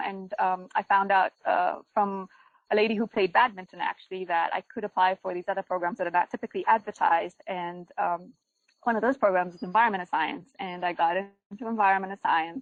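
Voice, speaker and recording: A woman with a Ugandan accent speaks at a medium pitch and a fairly quick pace. Her intonation stays flat and monotone. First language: Luganda. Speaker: GIS and remote sensing researcher. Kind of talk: webinar presentation. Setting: online webinar. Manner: frequent fillers and hesitations.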